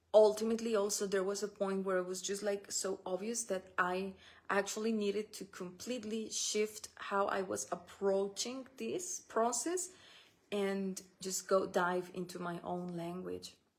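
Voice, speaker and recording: A woman speaks in a medium pitch at a fairly slow pace. Her intonation is monotone and flat. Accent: Spanish. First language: Spanish. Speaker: spiritual business coach. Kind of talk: solo podcast talk. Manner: halting, with restarts and fillers.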